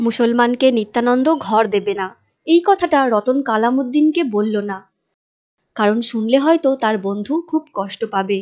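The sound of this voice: A woman's fairly high voice with lively intonation and a slightly mellow tone. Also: moderate pace.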